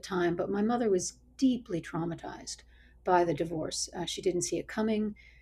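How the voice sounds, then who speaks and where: A woman speaks with an American accent at a medium pitch, her tone dark and mellow. Her pitch varies in an ordinary way, and vocal fry comes through. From US, New Jersey and Colorado. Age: 60s. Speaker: bishop and author. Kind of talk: interview.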